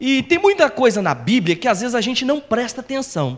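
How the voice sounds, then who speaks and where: This man talks at a moderate pace. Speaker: preacher. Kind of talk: sermon.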